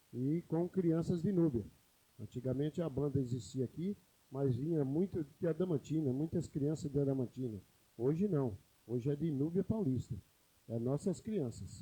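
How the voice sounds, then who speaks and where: Somewhat breathy and dark, mellow in tone, a man speaks at a moderate pace with lively intonation, fairly high pitch and very even loudness. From São Paulo state, Brazil (interior). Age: 50s. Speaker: city councillor. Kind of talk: council session speech.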